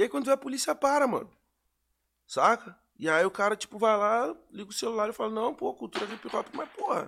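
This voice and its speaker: At a fairly quick pace, a man talks in an extremely high pitch with a bright, sharp tone and lively intonation. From Pelotas, Rio Grande do Sul, southern Brazil. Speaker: rapper. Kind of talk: casual interview chat.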